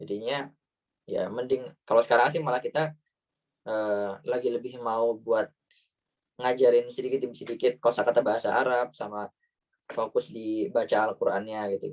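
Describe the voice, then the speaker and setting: Moderate pace from a man with a Banyumas accent, medium pitch and ordinary pitch variation. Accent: Ngapak (Banyumas Javanese). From Central Java, Banyumas area. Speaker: Indonesian living in Germany, talk show guest. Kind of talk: online talk show Q&A. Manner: casual, hesitant with fillers.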